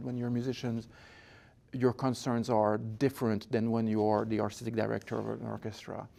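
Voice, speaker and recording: A speaker with a French-Canadian accent has a dark, mellow tone and monotone, flat intonation at a moderate pace. The recording is very clean, with a silent background. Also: man. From Quebec, Montreal. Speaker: orchestra conductor and founder. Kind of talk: interview. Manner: halting, with many fillers.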